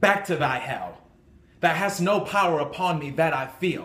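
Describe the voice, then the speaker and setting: A man with an intense tone and a fairly high pitch, ordinary pitch variation and a fairly slow pace, in a room with audible echo. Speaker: amateur actor. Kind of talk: dramatic classical monologue, defiant theatrical soliloquy of verse. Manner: intense, declamatory, forceful and defiant. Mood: defiant. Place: home room. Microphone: phone near.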